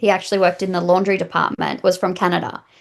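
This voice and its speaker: Against a quiet background, a woman speaks with vocal fry. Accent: Australian. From Australia. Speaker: massage therapist. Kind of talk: interview.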